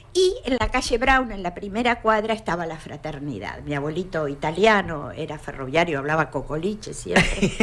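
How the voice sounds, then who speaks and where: Over noticeable background noise, a woman speaks at a moderate pace with hardly any pauses, her fairly low pitch swinging very widely and her loudness rising and falling sharply. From Argentina, Neuquén. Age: 70s. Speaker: retired teacher. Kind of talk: radio interview.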